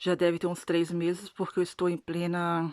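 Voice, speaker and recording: Fairly low in pitch, a woman with a non-native accent talks at a fairly slow pace in a very clean recording with a silent background. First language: not Portuguese (speaking Portuguese). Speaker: religious video blogger. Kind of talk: testimony. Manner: halting.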